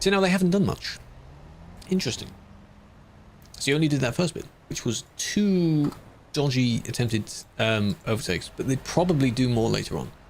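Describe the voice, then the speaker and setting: Somewhat breathy and fairly high-pitched, a man talks at a fairly quick pace with very wide pitch swings and long, frequent pauses. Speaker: streamer and game moderator. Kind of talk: live stream chat while moderating. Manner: adds silly exaggerations to his voice for comedy.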